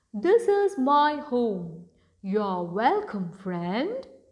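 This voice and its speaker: A woman puts on a character voice, speaking very slowly at a high pitch with very wide pitch swings. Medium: read story. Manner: warm, caring.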